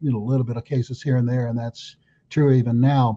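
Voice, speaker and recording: A man talks at a medium pitch in a dark, mellow tone that is somewhat breathy. The sound is dry and close, with no echo. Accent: American. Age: 70s. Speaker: attorney and political candidate. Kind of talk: casual interview.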